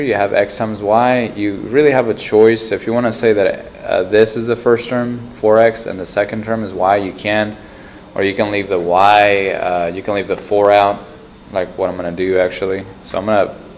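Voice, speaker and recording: A soft-spoken man with a fairly low voice, fairly even intonation and a moderate pace, over noticeable background noise. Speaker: math teacher. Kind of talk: tutorial. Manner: loud.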